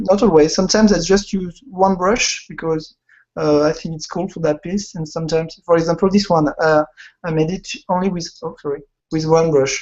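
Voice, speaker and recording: The speaker talks at a fairly quick pace with a French accent. The intonation stays fairly even. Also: man, high pitch for a man. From France. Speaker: illustrator and concept artist. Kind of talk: interview. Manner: halting.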